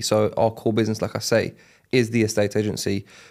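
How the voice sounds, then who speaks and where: A man with a London accent at a fairly quick pace, monotone and flat, on a very clean recording with a silent background. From South London, Catford. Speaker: estate agency owner. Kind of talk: podcast interview. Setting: podcast studio. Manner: casual, many fillers.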